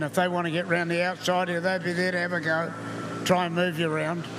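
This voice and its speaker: Speaking very fast in a New Zealand accent, a man with a high pitch keeps a monotone, flat intonation, with audible room echo and noticeable background noise. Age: 80s+. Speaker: retired racing driver. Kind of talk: live interview.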